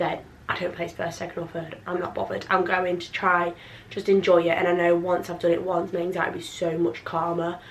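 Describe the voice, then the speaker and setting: Speaking at a fairly quick clip in an English accent, a woman with a fairly low voice keeps a flat monotone, with audible room echo and noticeable background noise. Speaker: vlogger. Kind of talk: casual vlog talk. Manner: fast, rambling.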